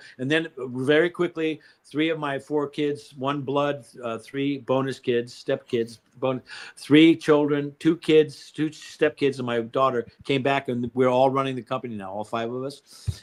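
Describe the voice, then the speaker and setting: An unremarkable speaking voice from a man, fairly high in pitch, with fairly even intonation and a fairly slow pace. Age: 60s. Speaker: company founder. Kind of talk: interview. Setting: live stream.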